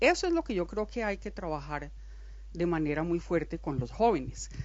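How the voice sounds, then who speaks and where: A woman speaks with a Colombian accent. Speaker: academic speaker at a book presentation. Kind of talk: panel discussion.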